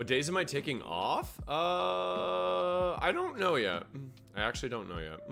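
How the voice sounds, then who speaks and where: Music plays in the background and audible room echo surrounds a man who talks at a fairly slow pace in an animated tone with very wide pitch swings. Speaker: video game streamer. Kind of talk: live stream chat. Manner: casual, animated.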